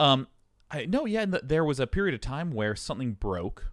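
A man talks fairly quickly in an unremarkable speaking voice, his intonation lively, on a very clean recording with a silent background. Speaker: streamer and gaming personality. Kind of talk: casual chat.

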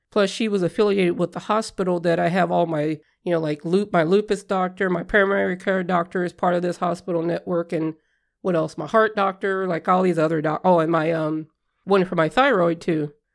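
On a very clean recording with a silent background, a woman talks in an ordinary speaking voice, fairly low in pitch, fairly quick and with fairly even intonation. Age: 40s. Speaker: podcast host living with lupus. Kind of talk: personal health story monologue.

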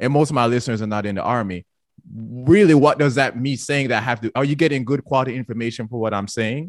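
A man's very fast speech against a quiet background. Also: medium pitch for a man, ordinary pitch variation. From Jamaica. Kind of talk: casual chat.

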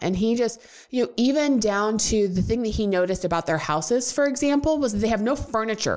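Speaking at a fairly quick pace, a woman swings very widely in pitch. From rural farm upbringing. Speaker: fitness podcast co-host. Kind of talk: casual chat.

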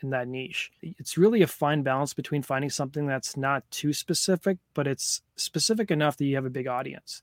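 A man with a plain, everyday voice speaks at a fairly quick pace in a fairly high pitch, hardly pausing, and the sound is dry and close with no echo. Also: ordinary pitch variation. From Canada. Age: 30s. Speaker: YouTuber. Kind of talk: interview.

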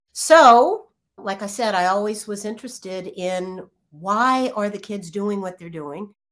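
A woman with an American accent talks at a fairly slow pace and a medium pitch, with ordinary pitch variation and big swings in loudness. It is an ordinary speaking voice, on a very clean recording with a silent background. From Virginia. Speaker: clinical psychologist. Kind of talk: interview.

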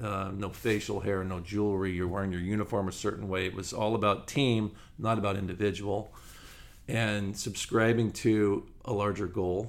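In an American accent, a man with a fairly low pitch speaks at a moderate pace with fairly even intonation. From Southern California. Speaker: former pro baseball player, business owner. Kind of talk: podcast interview.

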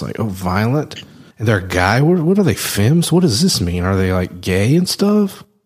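This is a man speaking. He has a Southern US accent. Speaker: podcast host. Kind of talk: casual chat.

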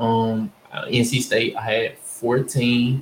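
A man with an American accent in a monotone, flat delivery, over noticeable background noise. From northern Louisiana (Winnfield, Ruston). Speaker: former college basketball player. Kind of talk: casual interview chat.

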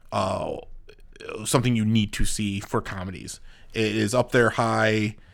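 A plain, everyday voice from a man at medium pitch, with fairly even intonation in a very clean recording over a silent background. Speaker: podcast co-host. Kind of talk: casual chat. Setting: studio.

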